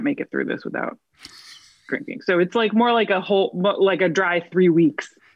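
Her intonation is lively. This woman's voice carries vocal fry. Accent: American. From New Jersey. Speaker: actress. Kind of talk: casual interview chat. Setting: video call.

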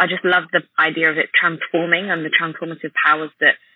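Someone with a London accent talks at a very fast pace. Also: woman. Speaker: esthetician and beauty blogger. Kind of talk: interview conversation.

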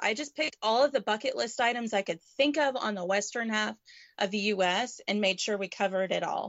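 Fairly high in pitch, a woman speaks at a moderate pace with ordinary pitch variation. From Canada, moved to Texas. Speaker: roadschooling mother and RV vlogger. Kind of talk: casual interview. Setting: remote call over internet. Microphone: unstable internet connection.

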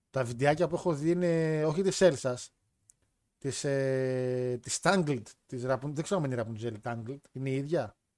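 Long, frequent pauses break up the fairly slow speech, which has ordinary pitch variation and is captured in a very clean recording with a silent background. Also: man. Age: 20s. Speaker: podcast host. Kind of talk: casual chat.

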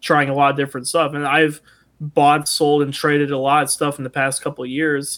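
With a Midwestern American accent, a man talks at a very fast pace and fairly high pitch on a very clean recording with a silent background. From US Midwest, Toledo, Ohio. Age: 20s. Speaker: musician. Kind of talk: casual chat.

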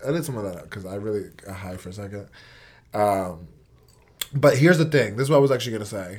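This man, with an American accent and a fairly low pitch, speaks very fast, with lively intonation, a somewhat breathy sound, big swings in loudness, and long, frequent pauses. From New York (Port Chester). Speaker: podcast co-host. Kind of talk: casual chat.

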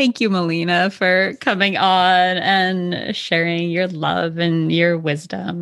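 Very slow speech with fairly even intonation against a quiet background. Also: woman. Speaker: podcast host. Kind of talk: casual interview chat.

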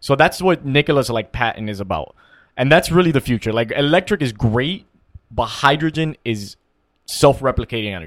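Lively intonation carries an ordinary speaking voice at a fairly quick pace. The recording is very clean and the background silent. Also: man, medium pitch for a man. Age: 20s. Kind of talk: casual chat.

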